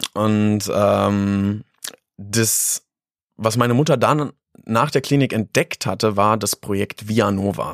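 A man with fairly low pitch speaks at a very slow pace with ordinary pitch variation. The sound is dry and close with no echo, on a very clean recording with a silent background. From Lower Saxony, Germany (Harz region near Göttingen). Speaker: beatboxer and street musician. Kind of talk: interview. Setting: studio.

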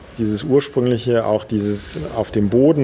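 Noticeable background noise behind a man at a medium pitch, moderately paced, with fairly even intonation. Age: 50s. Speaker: dancer and choreographer, palliative care trainer. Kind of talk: interview explanation.

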